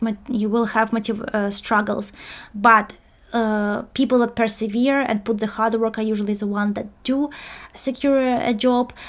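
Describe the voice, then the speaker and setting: A woman's fairly high, monotone voice with flat intonation at a moderate pace. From outside the UK. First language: not English. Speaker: career coach. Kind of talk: webinar presentation. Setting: live online webinar. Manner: hesitant, many fillers.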